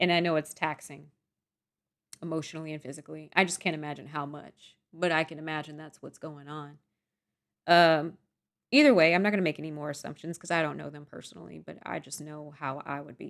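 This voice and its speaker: On a very clean recording with a silent background, the speech comes at a fairly quick pace with fairly even intonation and big swings in loudness. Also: woman, very deep, low pitch for a woman. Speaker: YouTuber, K-pop fan. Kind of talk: casual vlog storytime monologue. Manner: conversational, with fillers and repetitions.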